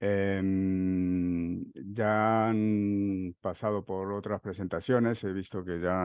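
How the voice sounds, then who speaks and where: Speaking very slowly with a Uruguayan accent, a man with a fairly low pitch keeps his intonation fairly even, the sound dry with no echo over a quiet background. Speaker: software consultant; conference presenter. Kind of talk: technical conference talk. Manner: halting, many fillers. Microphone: headset.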